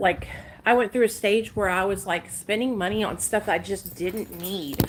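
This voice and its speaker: With an American accent and vocal fry, a woman talks at a moderate pace in a medium pitch, her tone animated and her intonation lively. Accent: hillbilly country. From Arkansas, US South. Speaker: live streamer. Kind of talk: casual chat. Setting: live stream.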